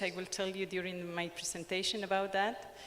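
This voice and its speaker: A woman speaks with a strong Ecuadorian accent. There is audible room echo. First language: Spanish. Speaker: sociologist and anthropologist. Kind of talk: conference presentation. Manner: hesitant, many fillers.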